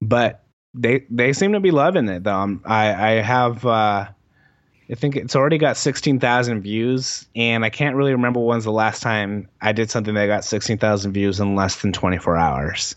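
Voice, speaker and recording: Ordinary pitch variation marks this man's medium-pitched speech, delivered at a moderate pace. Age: 20s. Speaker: YouTube video essayist on hip hop. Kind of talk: casual interview chat. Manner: halting, many fillers.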